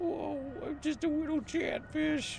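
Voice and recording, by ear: A raspy, put-on character voice moves at a fairly slow pace over clear background noise.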